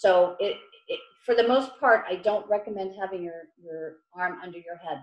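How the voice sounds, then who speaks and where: A woman at a moderate pace and medium pitch, with big swings in loudness. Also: ordinary pitch variation. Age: 50s. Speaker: massage therapist. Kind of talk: online workshop. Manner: hesitant, with many fillers.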